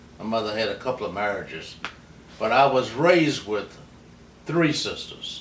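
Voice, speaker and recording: In an American accent, a man speaks with lively intonation amid audible room echo. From US South, southern West Virginia (Mount Hope). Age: 80s+. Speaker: interviewee recounting his life. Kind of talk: oral history interview. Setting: at home. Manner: unhurried, storytelling.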